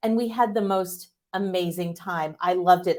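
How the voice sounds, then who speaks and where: A woman with an American accent, medium pitch, ordinary pitch variation, an ordinary speaking voice, very clean recording with a silent background. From United States. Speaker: tech executive, public speaker. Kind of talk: keynote talk.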